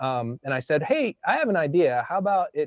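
The sound is dry with no echo and a quiet background. A man talks at a fairly quick pace. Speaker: remote guest. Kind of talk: interview answer. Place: home room. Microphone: lapel.

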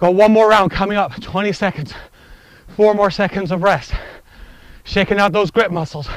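A man at a high pitch, moderate pace, and ordinary pitch variation, with long, frequent pauses, dry sound with no echo, and a quiet background. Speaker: kettlebell coach. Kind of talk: workout instruction. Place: open country.

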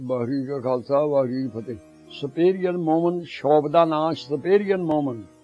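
Faint music plays in the background as a man speaks at a fairly high pitch with ordinary pitch variation. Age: 80s+. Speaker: guest giving a shop endorsement. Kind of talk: shop endorsement. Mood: warm, friendly, religious greetings. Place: studio.

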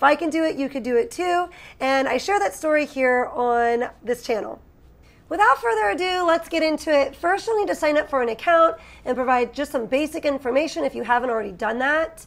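This woman's voice is high-pitched with lively intonation. She talks at a fairly quick pace. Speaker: online seller, channel host. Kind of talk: tutorial. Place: home room.

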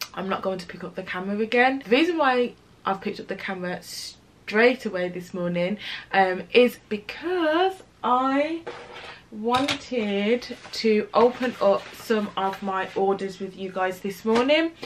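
A woman speaks with a British accent at a fairly high pitch and a fairly slow pace, her intonation lively and her loudness swinging widely over light background noise. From UK. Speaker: lifestyle vlogger. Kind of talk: casual vlog talk to camera. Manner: relaxed, chatty. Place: home room.

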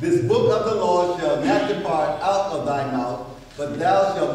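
Amid strong room echo and light background noise, a man speaks fairly slowly with very wide pitch swings. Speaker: preacher. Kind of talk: scripture reading in a sermon. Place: church.

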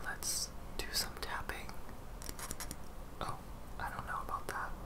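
A man at a fairly slow pace, with long, frequent pauses and noticeable background noise. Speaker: ASMR / vlog content creator. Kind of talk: ASMR hair brushing. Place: home room.

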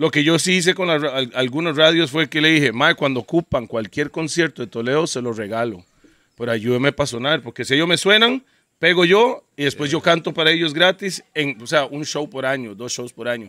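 Against a quiet background with a dry sound and no echo, a man talks at a fairly quick pace and fairly high pitch, with lively intonation and a bright, sharp tone. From Costa Rica. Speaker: DJ and podcast host; DJ, podcast host. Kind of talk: casual chat. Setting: outdoors in the jungle. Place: garden. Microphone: handheld.

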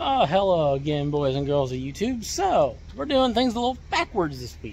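With a dry sound and no echo, a man talks at a moderate pace over light background noise. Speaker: vlogger. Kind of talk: casual vlog chat. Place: street. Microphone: phone near.

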